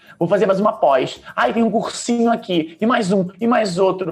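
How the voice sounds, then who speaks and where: A man speaks over noticeable background noise. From Brazil, Minas Gerais. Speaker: entrepreneur. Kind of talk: casual chat.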